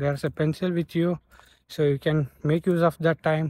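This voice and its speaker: A man's fairly high, monotone voice at a moderate pace, with flat intonation and a dry sound with no echo. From India. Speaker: nurse and YouTuber giving exam tips; YouTuber giving exam tips. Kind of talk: tutorial; casual vlog tutorial. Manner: halting. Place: street. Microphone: phone near.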